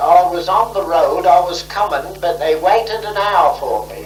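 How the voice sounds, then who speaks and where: A high-pitched man speaks at a very slow pace. Noticeable background noise is present. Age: 70s. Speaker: former champion cyclist and skater. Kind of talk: interview answer. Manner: storytelling, reminiscing.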